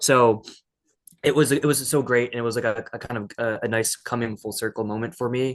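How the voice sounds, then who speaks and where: A man at a medium pitch and fairly quick pace, with monotone, flat intonation. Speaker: podcast guest. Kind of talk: casual chat. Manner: fast; halting.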